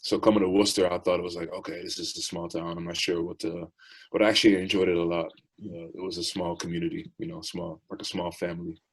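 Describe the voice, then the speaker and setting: A man speaks very fast in a very deep, low voice, his intonation monotone and flat while his loudness swings widely. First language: Dutch. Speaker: professional basketball player. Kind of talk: interview. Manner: hesitant, many fillers.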